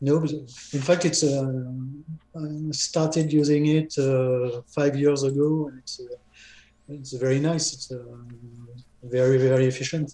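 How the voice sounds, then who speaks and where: Audible room echo surrounds a man with a fairly high pitch and flat, monotone intonation. He speaks fairly slowly, with long, frequent pauses and big swings in loudness. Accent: French. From France. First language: French. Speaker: software developer. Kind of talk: casual chat. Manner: halting. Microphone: video call.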